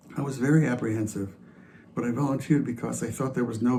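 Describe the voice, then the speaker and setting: A man with a medium pitch and ordinary pitch variation speaks at a very fast pace amid audible room echo. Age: 70s. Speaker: church member sharing reflection. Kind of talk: personal testimony in worship service.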